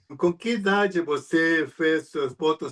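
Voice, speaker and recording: Here a man talks in a Spanish accent with a bright, sharp tone. His pitch varies in an ordinary way. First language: Spanish (speaking Portuguese). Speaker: interview show host. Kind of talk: interview.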